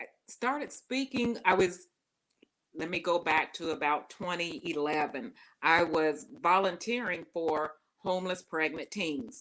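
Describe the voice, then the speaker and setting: With a Southern US accent, a woman speaks fairly slowly at a fairly low pitch, her intonation lively. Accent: Southern US twang, often taken for Texas. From not from the US South. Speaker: personal success speaker and coach. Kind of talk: interview conversation. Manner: talkative.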